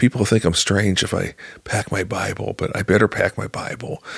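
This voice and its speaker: In a dry, close recording with no echo, a man with a fairly low, somewhat breathy voice speaks at a moderate pace with an American accent. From US Midwest, rural Illinois. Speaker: journalist. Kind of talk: interview testimony. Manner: halting, many fillers.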